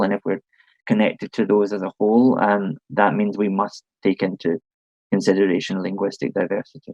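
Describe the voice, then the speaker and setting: A man with a Scottish accent speaks fairly quickly at a fairly low pitch with fairly even intonation, the sound dry and close with no echo. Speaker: panelist on diplomacy. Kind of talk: online panel discussion. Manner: halting, many fillers.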